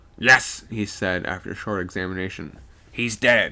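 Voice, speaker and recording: Using a put-on character voice, a man speaks at a fairly low pitch in a very clean recording with a silent background. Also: moderate pace. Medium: read story. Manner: gruff, commanding.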